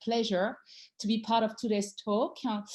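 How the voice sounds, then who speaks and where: With a French accent, the speaker has a dark, mellow tone and keeps a moderate pace. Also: woman. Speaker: design theorist and author. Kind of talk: talk introduction.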